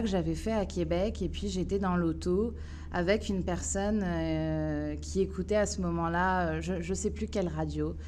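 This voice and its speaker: Amid audible room echo, a woman talks at a fairly slow pace. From France, Paris suburbs. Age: 30s. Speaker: municipal election candidate. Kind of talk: interview. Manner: hesitant, many filler sounds.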